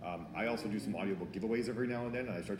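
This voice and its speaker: Very fast speech from a man with ordinary pitch variation, noticeable background noise and audible room echo. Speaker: author and marketing speaker. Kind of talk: conference talk Q&A.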